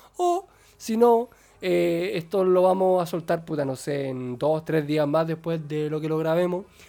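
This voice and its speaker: A fairly high-pitched man's voice, dark and mellow, with ordinary pitch variation and a fairly slow pace. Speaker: podcast host. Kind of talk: casual chat.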